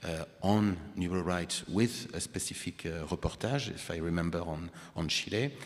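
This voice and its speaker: A man speaks with a French accent and a very deep, low pitch. His pitch varies in an ordinary way. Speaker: panel moderator. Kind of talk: panel discussion.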